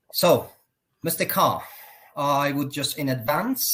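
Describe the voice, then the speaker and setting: Somewhat breathy male voice, fairly high, with a Persian accent and a moderate pace. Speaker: consultant and program host. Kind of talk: live online interview. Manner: formal.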